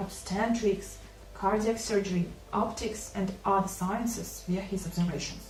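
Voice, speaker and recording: Over noticeable background noise, a woman with a non-native accent speaks at a fairly slow pace in a medium pitch, her intonation monotone and flat. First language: not English.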